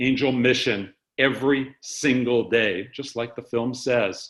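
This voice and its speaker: Against a quiet background, a man speaks fairly slowly at a medium pitch in a normal speaking voice. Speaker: organization executive. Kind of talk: staff town hall presentation. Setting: webcast video call.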